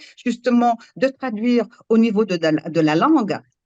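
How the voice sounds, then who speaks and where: A woman with a Moroccan accent speaks at a moderate pace and a fairly high pitch, with lively intonation. The sound is dry and close, with no echo. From Morocco. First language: Moroccan Arabic (speaking French). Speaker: storyteller. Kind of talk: panel discussion. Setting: live public event. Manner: halting.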